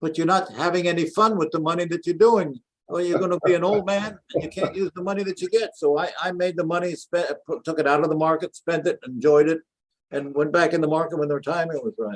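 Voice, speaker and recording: A man with a high voice talks very fast with ordinary pitch variation, the sound dry and close with no echo. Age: 80s+. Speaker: inventor, entrepreneur. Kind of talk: interview answer.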